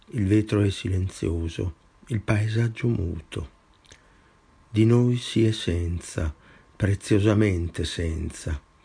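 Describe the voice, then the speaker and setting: Slowly, with long, frequent pauses, a man speaks in a fairly low, somewhat breathy voice with a dark, mellow tone. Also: ordinary pitch variation. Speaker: poet reading own work. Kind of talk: poetry reading, measured and incantatory, with refrains repeated like a litany.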